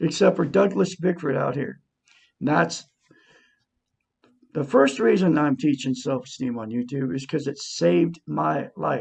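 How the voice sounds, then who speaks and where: This man talks at a fairly slow pace with a fairly high pitch and very wide pitch swings. Vocal fry runs through his voice. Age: 60s. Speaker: self-help YouTuber. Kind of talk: self-help talk to camera.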